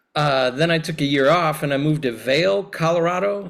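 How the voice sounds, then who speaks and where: A man with a plain, everyday voice speaks at a fairly high pitch and a moderate pace, with ordinary pitch variation. The recording is very clean, with a silent background. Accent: American. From US Midwest, Chicago area. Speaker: priest, clergy nominee. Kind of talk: candidate self-introduction at a meeting. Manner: casual, friendly.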